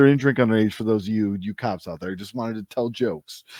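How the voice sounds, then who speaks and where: A man talks at a medium pitch with music in the background. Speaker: wrestling announcer and stand-up comedian. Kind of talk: interview answer.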